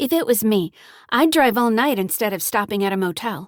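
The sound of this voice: A female-sounding put-on character voice, growling at a fairly high pitch for a woman. She talks at a fairly quick pace on a very clean recording with a silent background.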